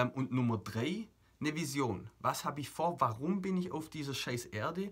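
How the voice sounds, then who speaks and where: A man's fairly high voice at a moderate pace, animated in tone, with lively intonation. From Germany. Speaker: motivational coach. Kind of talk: motivational video monologue.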